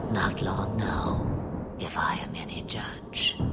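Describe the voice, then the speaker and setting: A man whispering in a put-on character voice over loud background noise. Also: fairly slow pace. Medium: short film. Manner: cryptic, amused, archaic phrasing.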